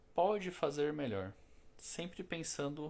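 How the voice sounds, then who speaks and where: This voice is a man's. His delivery is fairly slow. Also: very clean recording, silent background. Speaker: spiritist lecturer. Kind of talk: spiritual talk. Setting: live stream. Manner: casual, conversational.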